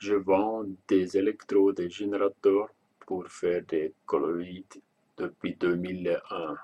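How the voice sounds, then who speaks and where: With a Swiss German accent, a man speaks at a very slow pace. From German-speaking Switzerland. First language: Swiss German (speaking French). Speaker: online shop owner. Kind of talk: product and payment explanation video. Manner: halting, hesitant.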